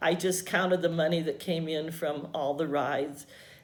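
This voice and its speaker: Heard with audible room echo, a woman in an American accent speaks at a moderate pace with ordinary pitch variation. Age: 70s. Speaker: retired teacher. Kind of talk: oral history interview. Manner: halting, with fillers.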